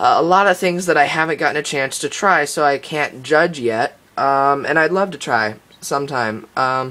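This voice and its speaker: A man with an American accent talks at a moderate pace with hardly any pauses. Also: fairly high pitch for a man, ordinary pitch variation. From United States. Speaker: tech YouTuber. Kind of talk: screen-recorded tutorial. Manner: hesitant, many fillers.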